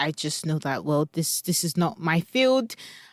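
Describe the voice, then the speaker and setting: A woman's fairly low voice with a Nigerian accent and ordinary pitch variation, in a very clean recording with a silent background and a dry, close sound with no echo. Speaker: parent coach. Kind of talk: podcast monologue.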